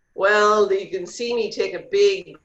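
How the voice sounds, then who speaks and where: The voice belongs to a woman. She speaks in an Irish accent. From Ireland. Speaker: real estate agent. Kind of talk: interview.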